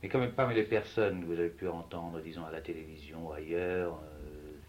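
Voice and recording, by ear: A man's low-pitched voice at a fairly quick pace, with fairly even intonation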